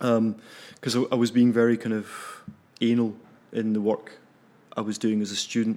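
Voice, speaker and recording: A man in a Glaswegian accent with a medium pitch and a dark, mellow tone, at a moderate pace with monotone, flat intonation and long, frequent pauses. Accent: Glaswegian Scottish. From Scotland, south of Glasgow. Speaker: animator and film festival programmer. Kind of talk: casual interview.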